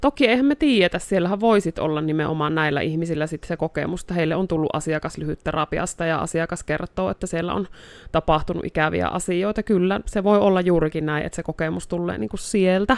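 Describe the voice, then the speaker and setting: A woman with a normal speaking voice talks at a fairly quick pace with hardly any pauses, using a fairly low pitch and ordinary pitch variation. The audio is dry and close, with no echo. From North Karelia, Finland (Joensuu). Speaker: therapist. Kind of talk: casual chat.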